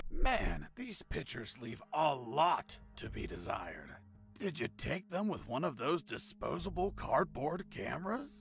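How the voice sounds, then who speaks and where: Using a put-on character voice, a man speaks fairly slowly at a fairly high pitch over clear background music. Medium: video game.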